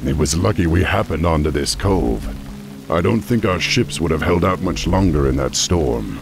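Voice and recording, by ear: Over faint background music, a man does a put-on character voice at an extremely low pitch, with vocal fry and lively intonation. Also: moderate pace.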